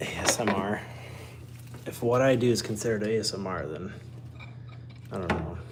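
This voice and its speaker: A man talks at a fairly quick pace with ordinary pitch variation and long, frequent pauses, over noticeable background noise and audible room echo. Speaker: car mechanic livestreamer. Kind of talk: live-streamed tutorial. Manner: casual, self-deprecating muttering.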